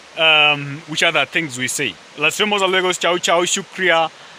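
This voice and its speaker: Against noticeable background noise, a man with an East African accent speaks at a moderate pace with ordinary pitch variation. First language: Swahili. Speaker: vlogger. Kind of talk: casual vlog monologue. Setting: outdoors in a forest. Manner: halting, many fillers.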